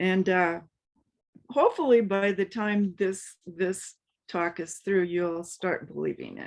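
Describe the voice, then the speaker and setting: A woman with an American accent speaks very slowly at a medium pitch. Her intonation stays fairly even. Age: 70s. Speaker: spiritual speaker. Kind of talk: personal testimony talk. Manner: halting, many fillers.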